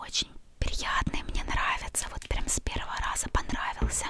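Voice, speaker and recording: The voice is a whisper. Background noise can clearly be heard. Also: woman. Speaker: ASMR creator. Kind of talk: ASMR unboxing. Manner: whispered.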